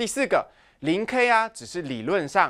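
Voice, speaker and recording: In a Taiwanese accent, a man speaks at a moderate pace with very wide pitch swings. The background is quiet. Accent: Taiwanese Mandarin. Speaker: high school physics teacher. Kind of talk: lecture. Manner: animated.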